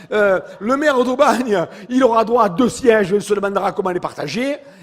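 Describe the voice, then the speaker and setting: Over noticeable background noise, a man with a Provençal accent speaks in an animated tone with a high pitch. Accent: southern French (Provençal). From Provence, southern France. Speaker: mayor and politician. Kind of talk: political speech at public meeting. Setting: public meeting hall with audience. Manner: animated, rhetorical.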